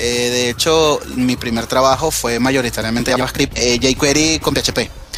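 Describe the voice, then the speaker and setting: A man's medium-pitched, flat monotone at a fairly slow pace with hardly any pauses, music in the background. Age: 30s. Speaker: software developer. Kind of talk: interview.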